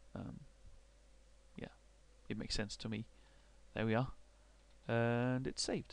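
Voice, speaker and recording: A man speaks with a Danish accent at a moderate pace. He leaves long, frequent pauses. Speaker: university researcher. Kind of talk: software tutorial. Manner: halting, many fillers and repetitions.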